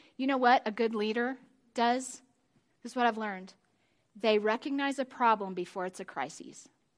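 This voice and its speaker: A woman's fairly high voice at a moderate pace, with ordinary pitch variation, long, frequent pauses and a very clean recording with a silent background. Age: 50s. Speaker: pastor's wife, women's ministry speaker. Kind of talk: sermon.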